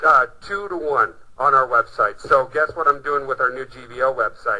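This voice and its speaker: This man speaks at a moderate pace in a fairly high pitch, his bright, sharp tone carrying ordinary pitch variation. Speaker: internet marketing CEO presenting a webinar. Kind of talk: webinar presentation. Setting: recorded online conference call. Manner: animated.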